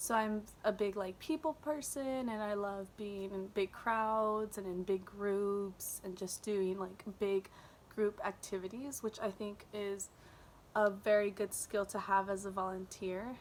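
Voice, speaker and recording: Her intonation is fairly even. The woman's delivery is fairly slow. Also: medium pitch for a woman. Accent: Californian. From California, US. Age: 20s. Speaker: volunteer applicant. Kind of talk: self-introduction video. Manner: casual with many fillers.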